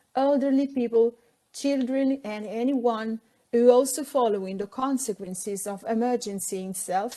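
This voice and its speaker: Over a quiet background, a woman with an Italian accent and a dark, mellow tone speaks at a fairly high pitch, her loudness swinging widely. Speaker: architect and safety consultant. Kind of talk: pre-recorded presentation. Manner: formal.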